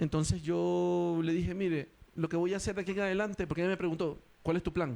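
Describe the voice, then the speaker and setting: A man talks at a very fast pace and a high pitch. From Ecuador. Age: 40s. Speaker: stand-up comedian. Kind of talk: interview.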